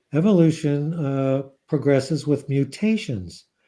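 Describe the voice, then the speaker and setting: A man's fairly high voice with a dark, mellow tone and ordinary pitch variation. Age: 70s. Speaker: psychiatrist and author. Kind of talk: interview.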